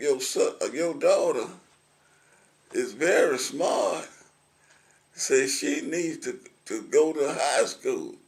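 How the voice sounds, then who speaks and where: A man talks in a Middle Tennessee accent. His pace is very slow, with long, frequent pauses. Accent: Southern US (Middle Tennessee). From Williamson County, Tennessee. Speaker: retired concrete truck driver, war veteran. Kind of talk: oral history interview answer. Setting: assisted living center.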